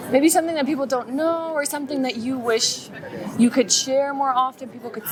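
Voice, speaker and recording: Amid noticeable background noise, a woman talks at a moderate pace in a high pitch with ordinary pitch variation. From Saudi Arabia. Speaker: street interviewer. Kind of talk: casual interview. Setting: outdoors on the street.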